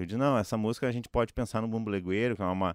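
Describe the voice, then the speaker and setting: Captured on a very clean recording with a silent background and a dry, close sound with no echo, a man uses an unremarkable speaking voice, fairly low in pitch with ordinary pitch variation. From Rio Grande do Sul, Santa Maria. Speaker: drummer and music educator. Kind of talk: interview.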